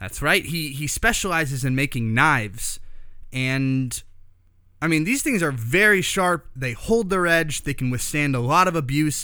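A man's bright, sharp voice, fairly high-pitched, with lively intonation at a moderate pace. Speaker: podcast host. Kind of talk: casual interview. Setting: in a knife shop.

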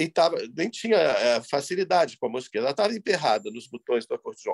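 A man talks with lively intonation. The recording is dry and close, without any echo. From Rio de Janeiro, Brazil. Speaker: composer. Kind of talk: interview. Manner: halting, with repetitions.

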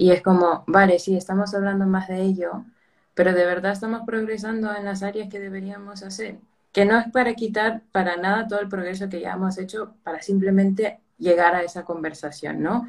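A woman with an unremarkable speaking voice, medium pitch, fairly even intonation, a moderate pace and big swings in loudness. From United States, Peruvian family. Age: 20s. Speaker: mental health project organizer. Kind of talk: casual interview.

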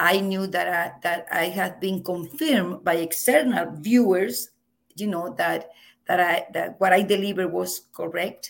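A woman with a Venezuelan accent talks at a fairly slow pace, with vocal fry. Her medium pitch shows ordinary variation. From Venezuela, Margarita Island. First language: Spanish. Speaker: professor. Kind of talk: interview. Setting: video call. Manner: loud; animated, laughs often.

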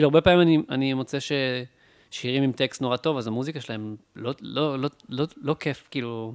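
Very fast speech from a man at a medium pitch, with fairly even intonation, a dry, close sound with no echo, and a very clean recording over a silent background. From Israel, Beersheba. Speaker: music producer and musician. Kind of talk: casual chat. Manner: halting.

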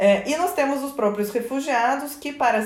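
Audible room echo around a woman's voice of ordinary pitch variation. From Georgia (former Soviet Union). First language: Russian (speaking Portuguese). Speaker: migration researcher. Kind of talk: radio interview.

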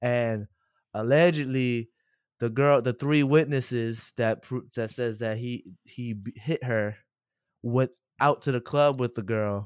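In a very clean recording with a silent background and a dry, close sound with no echo, a man speaks at a fairly slow pace with a medium pitch and fairly even intonation. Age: 30s. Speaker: podcast co-host. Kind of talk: casual chat.

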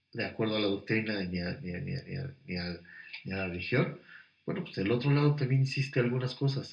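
A man with a medium pitch speaks with lively intonation. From Mexico, Puebla. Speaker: businessman and marathon runner. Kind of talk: interview conversation. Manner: halting, repeats words.

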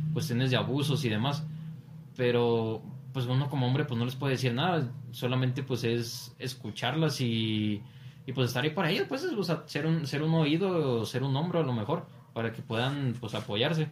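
A man at medium pitch is heard with noticeable background noise and audible room echo. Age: 20s. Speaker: seminarian. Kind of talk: casual chat.

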